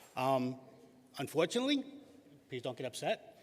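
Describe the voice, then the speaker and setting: In a Boston accent, a man speaks at a fairly quick pace with a fairly high pitch. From Boston, Massachusetts. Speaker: award-winning youth soccer volunteer and league president. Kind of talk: acceptance speech. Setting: stage with audience at a gala. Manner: halting.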